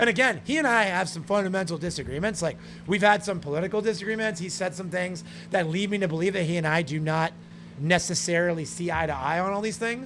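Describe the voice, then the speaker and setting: Loud and animated, a man talks at a very fast pace in a high voice. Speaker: gaming streamer. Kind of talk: live stream commentary while gaming.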